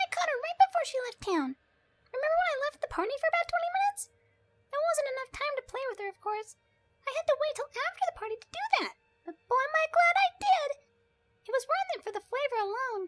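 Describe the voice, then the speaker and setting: A put-on character voice comes out female-sounding at an extremely high pitch and a very fast pace. Music plays in the background. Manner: cheerful, bubbly.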